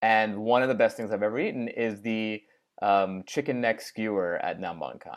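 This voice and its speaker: Speaking in an American accent, a man has an ordinary speaking voice with fairly low pitch and ordinary pitch variation. He talks at a moderate pace in a very clean recording with a silent background. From US Northeast, Long Island, New York. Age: 40s. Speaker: comedian. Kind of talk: casual chat.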